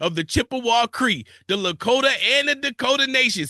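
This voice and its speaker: A man with an extremely high pitch and a bright, sharp tone speaks in a raised, projected voice with an animated tone at a moderate pace, in a dry, close sound with no echo. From Buffalo, New York. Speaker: radio host. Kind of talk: radio interview.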